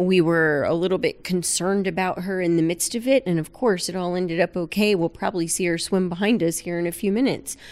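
A woman with an American accent talks at a very fast pace with hardly any pauses, a medium pitch, and ordinary pitch variation. The recording is very clean with a silent background. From South Florida. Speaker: aquarium veterinarian. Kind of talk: casual interview.

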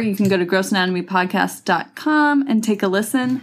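A woman talks at a moderate pace with ordinary pitch variation and medium pitch, an ordinary speaking voice. The recording is very clean, with a silent background. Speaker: co-host. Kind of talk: casual chat.

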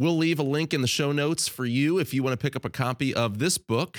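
A man in a plain, everyday voice speaks at a fairly quick pace with hardly any pauses, a medium pitch, ordinary pitch variation and very even loudness, on a very clean recording with a silent background and a dry, close sound with no echo. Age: 30s. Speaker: podcast host, mission agency communications director. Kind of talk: podcast intro and outro; interview.

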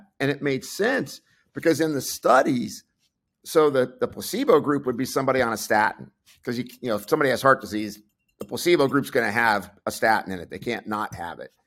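A man with an ordinary speaking voice, medium pitch, lively intonation, big swings in loudness and a fairly quick pace. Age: 60s. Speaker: clinical pharmacist and nutritionist. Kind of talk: interview.

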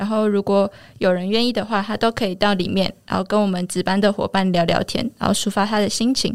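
Delivery comes at a fairly quick pace in a monotone, flat intonation. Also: woman. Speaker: university student volunteer. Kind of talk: casual interview. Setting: studio.

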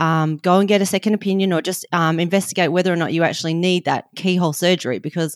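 A woman's fairly low voice with an Australian accent and ordinary pitch variation, dry and close with no echo, on a very clean recording with a silent background. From Western Australia. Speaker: nutrition and lifestyle coach. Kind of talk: interview.

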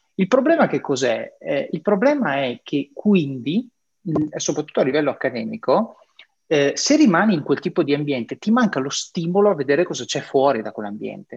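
A somewhat breathy man with a Venetian accent, very wide pitch swings, and a dry, close sound with no echo. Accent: northeastern Italian (Veneto). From northeastern Italy (Triveneto). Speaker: podcast host. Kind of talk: interview.

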